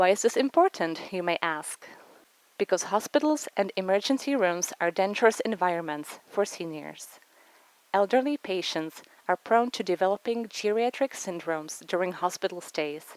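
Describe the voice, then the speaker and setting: A woman with a Czech accent speaks at a moderate pace, her pitch medium. Her intonation is lively, and the sound is dry and close with no echo. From Czech Republic. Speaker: physician. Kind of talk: research presentation. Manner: formal.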